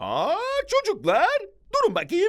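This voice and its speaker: This cartoonish character voice is extremely high in pitch. It moves at a fairly slow pace. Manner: boastful, bouncy.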